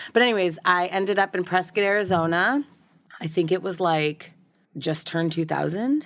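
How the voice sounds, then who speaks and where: An unremarkable speaking voice comes from a woman with an American accent, medium pitch and ordinary pitch variation. Her pace is moderate. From Boston suburbs, Massachusetts. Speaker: recovery blogger and photographer. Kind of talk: casual interview chat.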